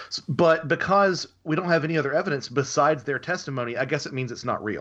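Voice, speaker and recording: Against a quiet background, a man with an American accent speaks at a fairly quick pace, pitched fairly high, with ordinary pitch variation. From US South. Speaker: author and researcher. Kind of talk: interview. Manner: halting.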